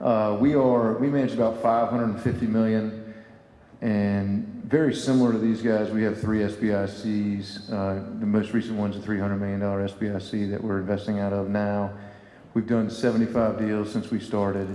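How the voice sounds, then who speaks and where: Audible room echo surrounds a voice in a Southern US accent, delivered at a moderate pace with monotone, flat intonation. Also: man, fairly low pitch for a man. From US South. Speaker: private equity investor panelist. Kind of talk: conference panel discussion.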